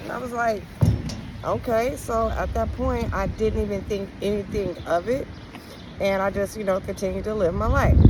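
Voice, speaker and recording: Noticeable background noise and audible room echo around a woman's voice at a moderate pace. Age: 40s. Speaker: spiritual vlogger. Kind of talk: personal testimony. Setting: outdoors. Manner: casual, with frequent ums.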